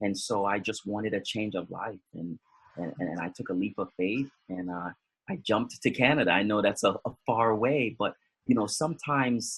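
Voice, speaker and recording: A man with an American accent and a fairly low pitch speaks at a moderate pace with ordinary pitch variation, in a dry, close sound with no echo. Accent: Jamaican-tinged North American. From US. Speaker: motivational speaker. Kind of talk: interview. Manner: halting, many fillers and repeats.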